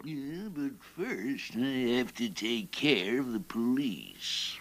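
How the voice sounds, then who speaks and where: Using a cartoonish character voice, a man talks at a very slow pace with a medium pitch and lively intonation. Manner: gloating, theatrical.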